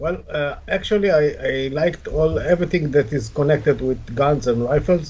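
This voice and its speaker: A man with a fairly high pitch talks at a moderate pace, hardly pausing at all. Noticeable background noise runs underneath. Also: ordinary pitch variation. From Israel. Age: 60s. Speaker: shooting sport regional director. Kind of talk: interview.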